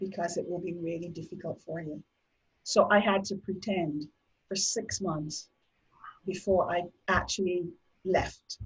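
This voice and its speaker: A woman with a Barbadian accent, fairly low-pitched and somewhat breathy, at a fairly slow pace with fairly even intonation and long, frequent pauses. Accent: Barbadian (Bajan) Caribbean English. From Barbados. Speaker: domestic violence survivor. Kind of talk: interview testimony.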